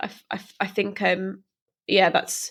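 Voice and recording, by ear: A woman speaks at a fairly slow pace with a medium pitch and a fairly bright tone. Her intonation is monotone and flat.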